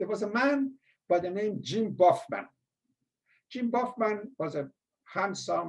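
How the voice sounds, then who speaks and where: A man with a strong Persian accent speaks in a high pitch. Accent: heavy Persian. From Iran. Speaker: former school administrator. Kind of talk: storytelling interview.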